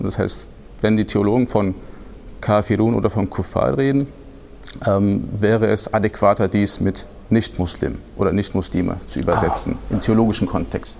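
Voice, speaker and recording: A man talks with ordinary pitch variation. His speech has long, frequent pauses. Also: moderate pace. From Hesse, Germany. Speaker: Islamic studies researcher. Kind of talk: expert interview. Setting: studio recording in a church. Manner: hesitant, many fillers.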